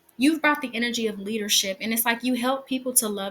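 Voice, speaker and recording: A woman speaks with a bright, sharp tone and a fairly high pitch. Her intonation stays fairly even. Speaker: tarot reader. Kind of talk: tarot reading to viewers. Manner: fast; pauses often.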